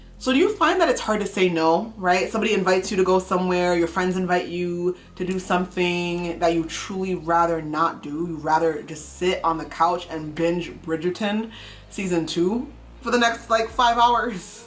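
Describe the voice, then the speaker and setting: A woman speaks at a moderate pace in a fairly low pitch with ordinary pitch variation and an unremarkable speaking voice. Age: 30s. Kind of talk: casual talk to camera.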